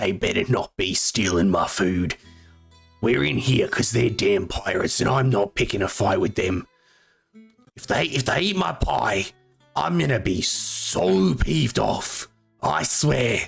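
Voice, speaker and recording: A man puts on a gruff character voice, fairly low in pitch, with lively intonation at a moderate pace. Faint music plays in the background. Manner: peeved, complaining.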